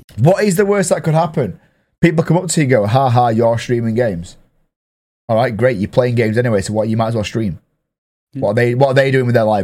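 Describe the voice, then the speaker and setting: A man with an English accent, very fast, with lively intonation and a dark, mellow tone. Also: medium pitch for a man. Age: 30s. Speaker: podcast host and streamer. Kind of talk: casual chat. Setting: studio.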